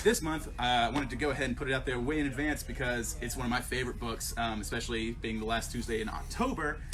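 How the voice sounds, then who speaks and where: The speaker talks at a very fast pace with hardly any pauses. Audible room echo and noticeable background noise fill the recording. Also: man. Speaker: comic shop employee, video host. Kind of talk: casual promotional talk to camera. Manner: animated, many fillers.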